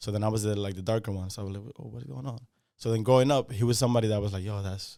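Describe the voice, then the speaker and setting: A man's fairly low voice with a slight Spanish accent, at a very fast pace, in a very clean recording with a silent background. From Dominican Republic, moved to Yonkers NY at nine. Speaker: rapper. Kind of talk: interview.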